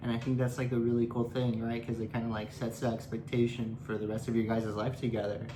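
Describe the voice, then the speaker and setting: Mumbling at a fairly quick pace, a man speaks in a medium pitch with monotone, flat intonation. Audible room echo surrounds the recording. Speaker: fiancé of YouTuber. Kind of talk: casual chat. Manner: hesitant.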